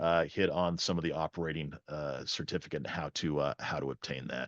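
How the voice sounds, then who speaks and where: A man talks at a fairly quick pace. The sound is dry and close with no echo, over a quiet background. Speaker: drone training presenter. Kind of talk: webinar presentation. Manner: fast.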